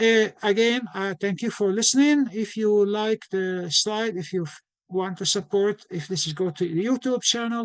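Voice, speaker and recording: Moderate pace, ordinary pitch variation and hardly any pauses. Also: man, high pitch for a man. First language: not English. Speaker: physician and nutrition educator. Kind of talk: lecture. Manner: halting, many restarts.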